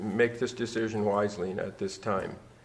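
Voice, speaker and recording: A man speaks at a medium pitch. There is noticeable background noise. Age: 60s. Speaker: public commenter at board meeting. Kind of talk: public comment. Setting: public board meeting.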